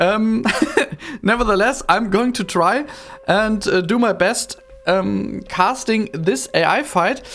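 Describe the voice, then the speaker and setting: Over noticeable background noise, a woman with a German accent speaks very slowly at a medium pitch, her loudness very even and her intonation lively. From Germany. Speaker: video game modder and commentator. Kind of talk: game commentary. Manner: halting, many fillers.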